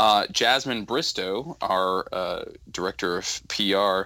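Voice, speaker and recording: A man with an American accent speaks in a bright, sharp tone in a very clean recording with a silent background. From Southern California. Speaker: podcast co-host. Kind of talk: casual chat.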